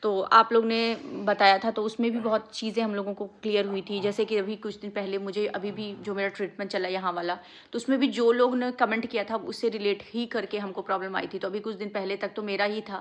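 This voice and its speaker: A woman at a moderate pace and medium pitch, monotone and flat, with hardly any pauses. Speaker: family vlogger. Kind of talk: vlog, casual talk to viewers. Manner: speaking softly.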